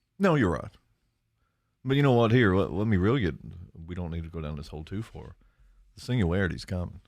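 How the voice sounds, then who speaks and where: Over a quiet background, a man with a very deep, low pitch talks at a very fast pace, with very wide pitch swings, big swings in loudness and long, frequent pauses. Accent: Appalachian. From eastern Kentucky, Lawrence County. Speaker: high school teacher and guitarist. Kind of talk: casual chat.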